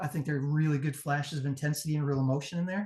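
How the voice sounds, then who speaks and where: This man's voice is fairly high-pitched and somewhat breathy, racing along at a very fast pace in a flat monotone. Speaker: pro wrestling promo judge. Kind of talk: live judging critique.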